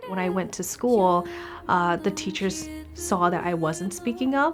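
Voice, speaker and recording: Noticeable background noise sits behind a woman with an Upper Midwest accent whose intonation is lively. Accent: Upper Midwest American. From US Midwest, Wisconsin. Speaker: singer-songwriter. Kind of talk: interview testimony.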